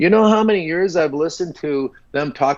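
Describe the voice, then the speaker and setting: Pitched fairly high, a man speaks in an unremarkable speaking voice with lively intonation. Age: 60s. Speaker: entrepreneur. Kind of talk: casual chat.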